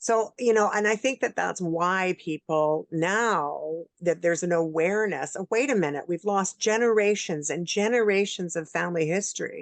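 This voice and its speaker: Recorded dry and close with no echo, a woman talks in a normal speaking voice with ordinary pitch variation and hardly any pauses. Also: medium pitch for a woman, moderate pace. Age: 60s. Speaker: interview show host and producer. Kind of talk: interview. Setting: video call.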